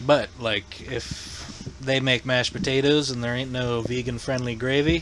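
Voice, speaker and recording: With a northern US accent, a man of medium pitch talks at a fairly slow pace with fairly even intonation over noticeable background noise. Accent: northern US accent, largely kept. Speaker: podcast host. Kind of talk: casual chat.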